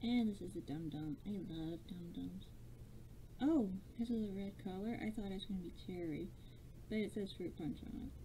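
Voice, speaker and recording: Over light background noise, a woman with a dark, mellow tone speaks at a moderate pace with lively intonation. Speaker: vlogger. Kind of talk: casual talk to camera. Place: home room. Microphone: webcam.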